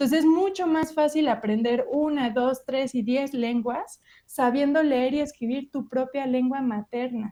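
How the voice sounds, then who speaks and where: Her voice high in pitch and dark, mellow in tone, a woman speaks with hardly any pauses. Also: ordinary pitch variation, fairly slow pace. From Mexico. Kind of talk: lecture.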